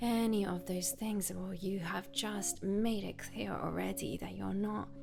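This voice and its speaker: Backed by music, a woman talks at a fairly slow pace. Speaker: yoga teacher. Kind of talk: self-care advice talk to camera.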